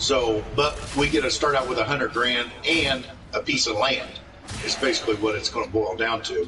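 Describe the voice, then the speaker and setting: Music plays in the background as a man speaks at a moderate pace. His loudness stays very even. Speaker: gaming streamer. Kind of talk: casual chat. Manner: halting, stuttering.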